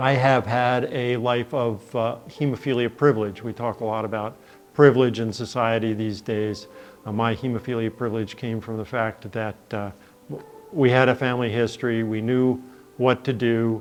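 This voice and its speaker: Music plays in the background as a man speaks at a medium pitch. His delivery is monotone and flat, at a moderate pace. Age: 60s. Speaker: hemophilia patient sharing his story. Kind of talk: testimony. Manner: halting, many fillers.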